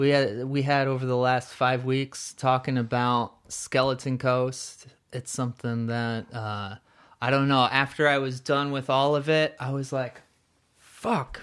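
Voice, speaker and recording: Against a quiet background, a man speaks slowly-ish at a fairly slow pace, his medium pitch delivered in a monotone, flat intonation. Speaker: podcast host. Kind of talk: casual chat.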